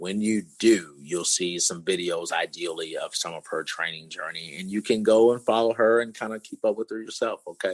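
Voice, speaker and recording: With hardly any pauses, a man talks at a moderate pace in a fairly low voice with ordinary pitch variation and a dry, close sound with no echo. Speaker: podcast host and fitness coach. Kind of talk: casual podcast chat. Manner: loud; halting, many fillers.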